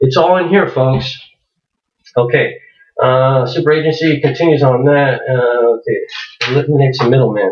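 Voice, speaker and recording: At a moderate pace, a man speaks in a somewhat breathy voice, fairly high in pitch. His pitch variation is ordinary and his loudness very even. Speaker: internet marketer. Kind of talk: tutorial. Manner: halting, many fillers.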